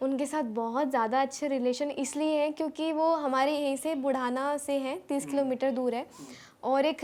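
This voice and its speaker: Her voice sits high in pitch, and this woman keeps her intonation fairly even. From Baghpat, Uttar Pradesh. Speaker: singer. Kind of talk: interview answer.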